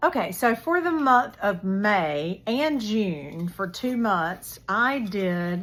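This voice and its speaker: This woman has an American accent and a medium pitch with very wide swings. She talks at a very slow pace with hardly any pauses. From North Carolina. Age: 60s. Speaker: book vlogger. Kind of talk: casual chat.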